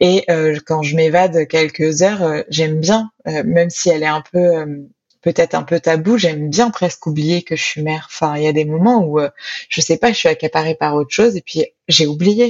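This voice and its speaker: The pitch of this woman's voice is fairly low. She talks at a moderate pace. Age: 30s. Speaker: author and sociologist. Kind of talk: interview testimony. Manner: hesitant.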